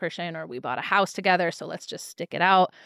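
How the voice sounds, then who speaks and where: In a very clean recording with a silent background and a dry, close sound with no echo, a woman with an American accent speaks very fast at a medium pitch. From US Midwest (Milwaukee). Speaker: naturopathic doctor and podcast host. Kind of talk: health explainer; casual chat.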